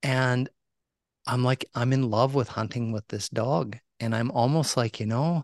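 In a quiet background with a dry, close sound and no echo, a man with an ordinary speaking voice talks at a moderate pace and medium pitch. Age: 50s. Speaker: hunting conservationist and podcaster. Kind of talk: casual interview.

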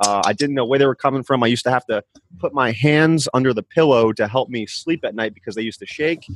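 A man with an American accent talks at a very fast pace, his medium-pitched voice showing ordinary pitch variation. The sound is dry and close, with no echo. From New Jersey. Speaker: chiropractor. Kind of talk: interview testimony.

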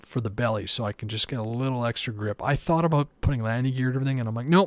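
Speaking very fast at a medium pitch, a man with a Canadian accent comes through in a very clean recording with a silent background. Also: dry, close sound with no echo. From Canada. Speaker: RC aircraft hobbyist podcast host. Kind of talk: solo podcast monologue.

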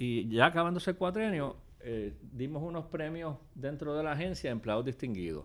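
A normal speaking voice, moderate in pace and lively in intonation. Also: man, fairly high pitch for a man. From Puerto Rico. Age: 60s. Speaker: former government official. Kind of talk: interview. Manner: casual.

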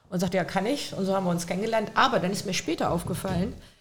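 A woman talks at a medium pitch. Audible room echo and noticeable background noise fill the recording. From Lower Saxony, Hildesheim. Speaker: criminal defense lawyer. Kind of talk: casual chat.

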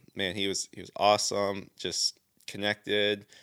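With an American accent, a man has an unremarkable speaking voice, a fairly low pitch and a fairly slow pace. The very clean recording has a silent background and a dry, close sound with no echo. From Southeast Michigan, US. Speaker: church deacon and worship musician. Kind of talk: casual chat.

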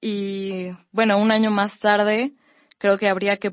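A woman talks at a very slow pace. Her pitch is fairly high. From Mexico, Campeche. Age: 20s. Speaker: young writer and literature student. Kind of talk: panel discussion.

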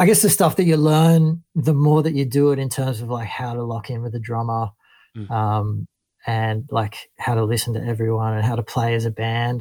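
Speaking with an Australian accent, a man at medium pitch uses a dark, mellow tone that is somewhat breathy, keeping a moderate pace and ordinary pitch variation. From northern New South Wales, Australia. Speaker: bass player. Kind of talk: casual interview. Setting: remote call. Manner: laid-back.

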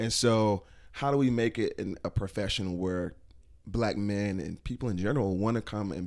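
The recording is very clean, with a silent background. A man with an American accent talks at a fairly low pitch with ordinary pitch variation. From New York (Bronx), Jamaican family. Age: young. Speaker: school fundraising executive. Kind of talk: casual interview. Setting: recorded at a gathering venue.

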